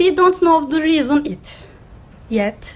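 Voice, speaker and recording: At a fairly slow pace, the speaker uses very wide pitch swings in a Turkish accent. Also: woman. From Turkey. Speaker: graduate student, food engineer. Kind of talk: student presentation. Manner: halting.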